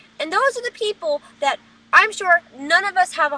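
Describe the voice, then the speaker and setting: A woman speaks in a raised, projected voice with a bright, sharp, animated tone. Her intonation is lively and her pace fairly quick. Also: dry, close sound with no echo. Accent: American. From New Jersey. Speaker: vlogger. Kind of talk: webcam rant. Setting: webcam recording.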